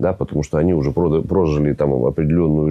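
With a very deep, low pitch, this man has a dark, mellow tone. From Russia, Tyumen; Russia. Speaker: athlete and entrepreneur; talk show guest. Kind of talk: talk show interview. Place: studio. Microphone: lapel.

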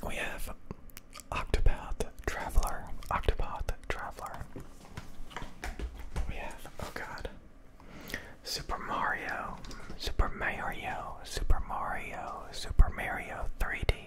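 At a very slow pace, the whispering is broken by long, frequent pauses. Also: man. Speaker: ASMR creator. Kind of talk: ASMR whisper ramble showing handheld game consoles and games. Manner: whispered, slow, soft-spoken. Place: home room. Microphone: studio mic.

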